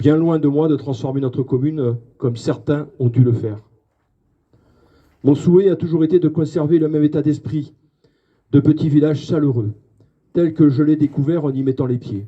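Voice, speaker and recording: With a dark, mellow tone and a somewhat breathy quality, a man speaks at a moderate pace in a fairly high pitch, taking long, frequent pauses. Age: 60s. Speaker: mayor. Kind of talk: public speech. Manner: halting, many fillers.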